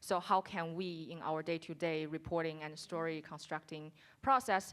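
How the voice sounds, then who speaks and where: Fairly even intonation from a woman with a very deep, low pitch. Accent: Chinese. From China. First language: Chinese. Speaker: audience member, reporter. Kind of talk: audience question. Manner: halting.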